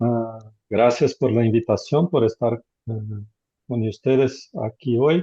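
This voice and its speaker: Against a quiet background, a man talks very slowly in a medium pitch with ordinary pitch variation, his tone dark and mellow and the sound dry and close with no echo. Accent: Portuguese. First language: Portuguese (speaking Spanish). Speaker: law professor. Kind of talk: video call introduction. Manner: halting.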